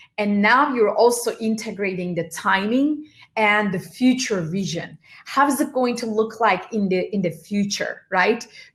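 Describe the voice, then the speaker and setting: A woman's fairly high voice comes out somewhat breathy, with lively intonation. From Turkey. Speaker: motivational speaker. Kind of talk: talk to audience.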